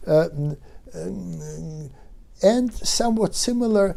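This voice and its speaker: The voice belongs to a man. His tone is dark and mellow. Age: 70s. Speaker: neuroscientist. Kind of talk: lecture. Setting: webinar. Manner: halting, many fillers.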